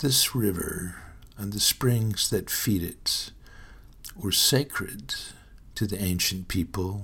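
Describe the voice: The voice carries an American accent and a fairly bright tone with vocal fry. It moves at a slow pace. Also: man.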